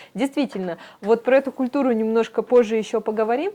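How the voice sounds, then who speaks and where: Speaking at a moderate pace, a woman with a fairly high pitch and a dark, mellow tone uses ordinary pitch variation. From Irkutsk Oblast, Siberia. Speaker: interviewer. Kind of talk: interview. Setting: studio.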